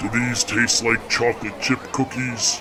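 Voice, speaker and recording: A man's put-on character voice at a medium pitch and moderate pace, against loud background noise. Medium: read story. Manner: eager, starstruck.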